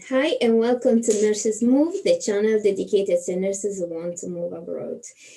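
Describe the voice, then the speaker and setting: Noticeable background noise sits behind a woman speaking at a moderate pace. Her fairly high voice shows ordinary pitch variation and big swings in loudness. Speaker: nurse. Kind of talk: interviewer, casual video chat.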